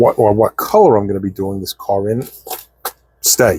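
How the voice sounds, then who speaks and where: This dark, mellow voice keeps a fairly even intonation, with a dry, close sound with no echo on a very clean recording with a silent background. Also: man. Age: 60s. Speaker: scale model building YouTuber. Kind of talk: hobby tutorial vlog. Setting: home workshop. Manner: casual, chatty.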